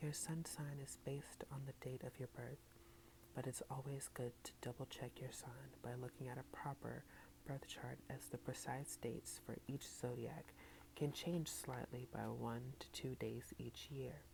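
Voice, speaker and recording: At a fairly slow rate, the speech comes out soft-spoken. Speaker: ASMR content creator. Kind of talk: ASMR soft-spoken book reading with tapping and trigger words.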